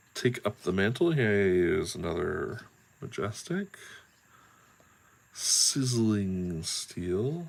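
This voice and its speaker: A man at a very slow pace, with long, frequent pauses, very wide pitch swings and noticeable background noise. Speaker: card pack opening video creator. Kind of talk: casual unboxing commentary. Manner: loud; animated. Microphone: very close to the camera.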